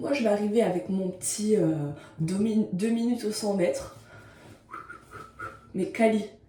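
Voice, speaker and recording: A woman talks at a fairly slow pace and medium pitch, with audible room echo and noticeable background noise around her. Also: long, frequent pauses. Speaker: vlogger. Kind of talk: casual vlog monologue. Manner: energetic, animated.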